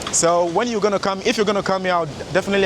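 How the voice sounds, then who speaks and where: A man's voice over noticeable background noise. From Sweden, born in Ghana. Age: 20s. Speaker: vlogger and fitness coach. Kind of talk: walking vlog talk to camera. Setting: outdoors, walking by the beach.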